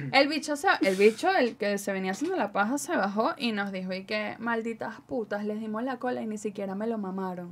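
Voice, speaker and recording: A woman talks at a fairly quick pace with hardly any pauses, her fairly high pitch moving in lively intonation. Noticeable background noise runs underneath. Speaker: digital security trainer and radio announcer. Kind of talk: casual chat. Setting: studio.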